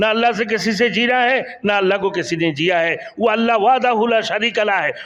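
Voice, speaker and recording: Over noticeable background noise, a man talks in a high voice with ordinary pitch variation. His loudness stays very even. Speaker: Islamic preacher. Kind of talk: Islamic sermon (bayan).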